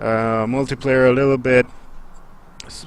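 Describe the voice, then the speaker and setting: Over music in the background, a man speaks at a moderate pace with a monotone, flat intonation. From Romania, Bucharest. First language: Romanian. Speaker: livestreamer / let's play gamer. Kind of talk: game livestream commentary. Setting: live stream. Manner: casual, chatty.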